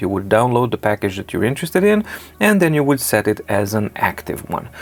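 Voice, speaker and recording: Very fast speech from a man with a medium pitch and a Serbian accent. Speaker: tech reviewer. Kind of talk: tutorial. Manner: animated.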